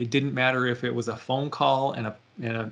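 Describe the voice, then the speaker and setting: This man has an unremarkable speaking voice at a medium pitch. He talks at a fairly quick pace. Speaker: IT consultant presenter. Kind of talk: tutorial.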